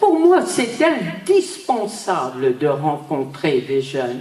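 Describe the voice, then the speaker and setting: A woman speaks at a very slow pace and medium pitch, with very wide pitch swings. Audible room echo and noticeable background noise fill the recording. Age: 80s+. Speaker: Holocaust survivor. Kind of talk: testimony. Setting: stage with audience. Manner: animated.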